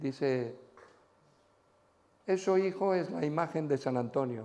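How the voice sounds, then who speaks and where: A man with a fairly high pitch and dark, mellow tone speaks at a fairly slow pace with lively intonation. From Spain. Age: 70s. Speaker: pastor. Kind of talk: sermon. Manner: animated.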